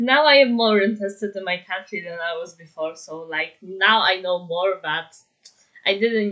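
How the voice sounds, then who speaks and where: A woman's voice at medium pitch with a Polish accent, lively intonation and a moderate pace. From Poland. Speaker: YouTuber reacting to videos. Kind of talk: reaction video commentary. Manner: halting.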